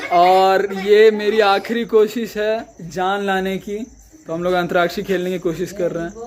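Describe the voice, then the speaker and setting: A man's high-pitched voice with monotone, flat intonation. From Bihar, India. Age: young. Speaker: vlogger. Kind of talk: casual vlog talk to camera.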